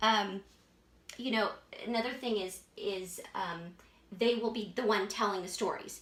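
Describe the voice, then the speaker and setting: A woman's fairly high, animated voice with ordinary pitch variation over noticeable background noise. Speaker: marriage teacher. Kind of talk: tutorial. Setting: indoor room with a whiteboard.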